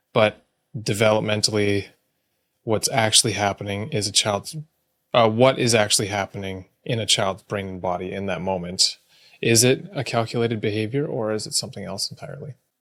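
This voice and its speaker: Fairly low in pitch, a man talks at a fairly quick pace with ordinary pitch variation and big swings in loudness. The recording is very clean with a silent background. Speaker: podcast co-host, parent. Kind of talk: casual podcast chat.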